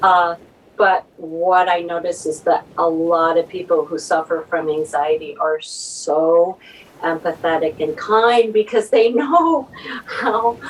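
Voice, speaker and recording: A woman's fairly low voice at a very slow pace, with noticeable background noise. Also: ordinary pitch variation. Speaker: novelist. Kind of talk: casual chat.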